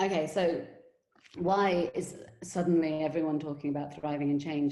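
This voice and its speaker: A woman speaks in a very deep, low pitch with a dark, mellow tone and fairly even intonation. Audible room echo surrounds her voice. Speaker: education company CEO and webinar host. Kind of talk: webinar presentation. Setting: online webinar. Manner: fast.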